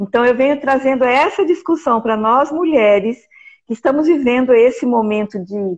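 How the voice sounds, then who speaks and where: With lively intonation, a high-pitched woman talks at a moderate pace. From Brazil, Mato Grosso do Sul (Campo Grande). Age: 60s. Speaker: art teacher and amateur playwright. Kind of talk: live stream conversation.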